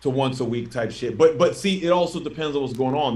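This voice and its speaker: A man talks very fast in an American accent. His voice is somewhat breathy. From Philadelphia, US. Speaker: rapper. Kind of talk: casual chat. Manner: animated.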